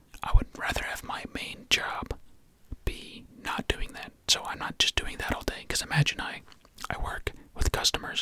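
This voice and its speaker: A whisper at moderate speed, broken by long, frequent pauses, with background noise clearly present. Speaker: ASMR creator. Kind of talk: ASMR whisper ramble. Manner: whispered; casual, rambling.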